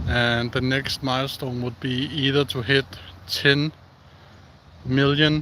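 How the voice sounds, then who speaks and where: A man at a medium pitch with a Danish accent, ordinary pitch variation, a very slow pace, and noticeable background noise. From Denmark. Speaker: outdoor live streamer. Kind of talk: casual live stream chat. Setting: outdoors. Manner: halting.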